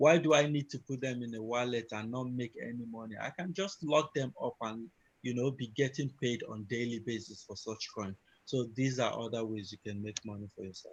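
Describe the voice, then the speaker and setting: Somewhat breathy, a man speaks fairly quickly at a medium pitch with ordinary pitch variation and big swings in loudness. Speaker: crypto trading trainer. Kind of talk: online training session.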